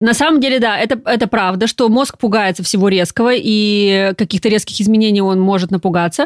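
Animated and fairly quick, a woman at a medium pitch speaks with hardly any pauses, very even loudness and ordinary pitch variation in a dry, close sound with no echo. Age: 30s. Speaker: coach and brain researcher. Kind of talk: casual chat.

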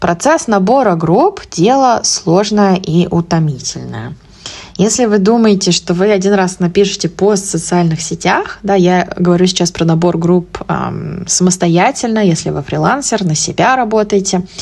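A woman's medium-pitched voice with ordinary pitch variation and very even loudness, over noticeable background noise. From Russia, Moscow. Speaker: English teacher and podcast host. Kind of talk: solo podcast monologue.

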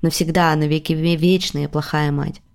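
A plain, everyday voice at a moderate pace. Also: woman. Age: 30s. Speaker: podcast host and producer. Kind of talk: casual chat.

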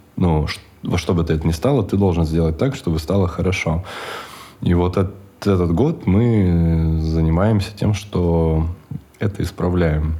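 A man's very deep, low voice, fairly slow and fairly even in intonation, with long, frequent pauses. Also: very even loudness. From Siberia, Russia (Chita). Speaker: coffee shop owner. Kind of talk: casual interview. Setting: studio.

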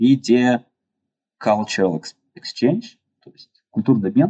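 A man's medium-pitched voice unfolds at a fairly slow pace. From Russia, Yekaterinburg. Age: 30s. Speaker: structural engineer. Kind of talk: interview. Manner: hesitant, many fillers.

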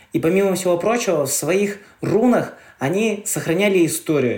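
This man's high-pitched voice has an animated tone, ordinary pitch variation, and a moderate pace. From Karelia, Russia. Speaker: travel guide and glamping owner. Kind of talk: casual interview.

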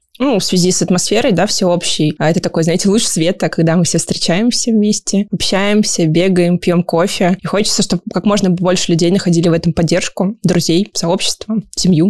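An ordinary speaking voice, a woman's, at medium pitch and moderate pace, with fairly even intonation, very even loudness and hardly any pauses. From Siberia, Kemerovo region. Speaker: running community organizer. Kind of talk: casual interview. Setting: studio.

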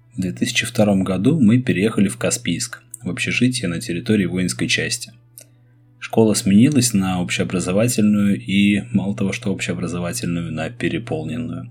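A man at a fairly low pitch with very wide pitch swings and a moderate pace, over noticeable background noise. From Russia, Saint Petersburg. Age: 30s. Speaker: podcast host and schoolteacher. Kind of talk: personal storytelling monologue.

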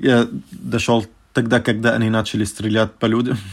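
The speaker has an Arabic accent and fairly even intonation. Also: man. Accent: Arabic accent in Russian. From Syria, Damascus. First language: Arabic (speaking Russian). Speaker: refugee. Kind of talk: interview storytelling. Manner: halting, many fillers.

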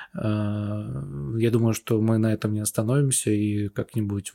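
A man speaks fairly slowly in a fairly low pitch with a dark, mellow tone. The sound is dry and close, with no echo. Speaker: podcast host and video editor. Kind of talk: casual chat.

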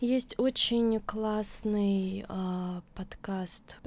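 This voice belongs to a woman. Her pitch rises and falls in a normal way. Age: 20s. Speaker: blogger, author of a mental health channel. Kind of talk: interview, casual chat. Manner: halting, many fillers.

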